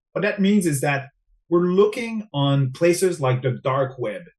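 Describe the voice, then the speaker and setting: Speaking with a French-Canadian accent, a man has a fairly high pitch and lively intonation. His pace is fairly slow. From Quebec, Montreal. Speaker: cybersecurity specialist. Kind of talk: interview.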